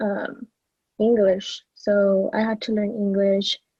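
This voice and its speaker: This woman's voice is somewhat breathy. It sits fairly high in pitch. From Mexico (Morelia, Michoacan), then California Central Valley from age 7. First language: Spanish. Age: 20s. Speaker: model and social media influencer. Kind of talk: podcast interview.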